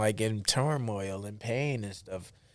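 At a fairly slow pace, a man with an American accent and an unremarkable speaking voice talks at a fairly low pitch in a very clean recording with a silent background. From United States. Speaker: professional boxer. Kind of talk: interview.

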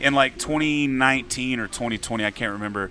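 A man with a Texan accent speaks with fairly even intonation. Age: 40s. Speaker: singer-songwriter. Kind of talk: casual chat. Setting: bar venue.

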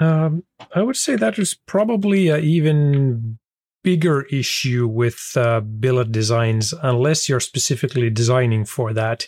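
A man at a medium pitch speaks with lively intonation and very even loudness. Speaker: race engine builder. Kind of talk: technical interview. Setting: video call. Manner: halting.

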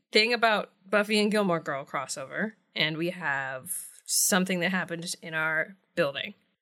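On a very clean recording with a silent background, a woman uses a normal speaking voice, fairly low in pitch with ordinary pitch variation. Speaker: comedian and podcast co-host. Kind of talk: casual chat.

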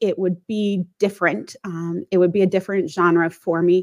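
In a General American accent, a woman speaks at a medium pitch with ordinary pitch variation. She has a plain, everyday voice. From US Midwest, St. Louis. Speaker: author. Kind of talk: interview.

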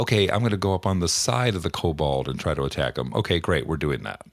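A man talks at a very fast pace in a very deep, low voice with vocal fry and very wide pitch swings. The recording is very clean, with a silent background. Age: 50s. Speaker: game master and podcast host. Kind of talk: solo podcast monologue. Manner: casual, with fillers.

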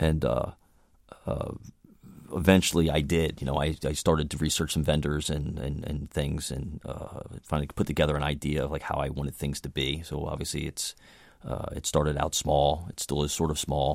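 Monotone, flat intonation with vocal fry at a moderate pace. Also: man, very deep, low pitch for a man. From Baltimore, Maryland. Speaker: menswear business owner. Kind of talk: interview. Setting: radio studio. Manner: halting, many fillers and repetitions.

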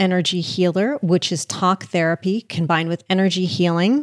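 A woman's plain, everyday voice in an American accent, medium in pitch with ordinary pitch variation, at a moderate pace, with a dry, close sound with no echo. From US Northeast, suburban New Jersey. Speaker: author and podcaster. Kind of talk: casual interview.

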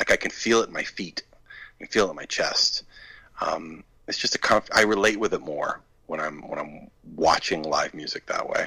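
A man with an American accent talks at a moderate pace, with big swings in loudness. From US Northeast, Maine. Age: 40s. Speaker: filmmaker and musician. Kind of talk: interview. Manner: halting, many fillers.

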